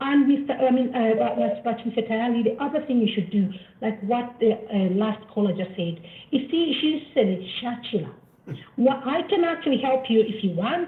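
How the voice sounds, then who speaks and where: The intonation is lively and the pace is moderate. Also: woman, fairly high pitch for a woman. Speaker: caller. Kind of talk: call-in comment. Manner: quiet.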